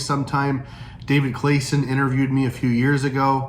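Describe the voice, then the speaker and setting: There is audible room echo as a man with a slight Southern Illinois accent speaks. His pitch is fairly high and his pace moderate. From US Midwest, Southern Illinois. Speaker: pastor. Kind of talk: casual vlog talk. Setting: indoors, storm outside. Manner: halting, many fillers and restarts.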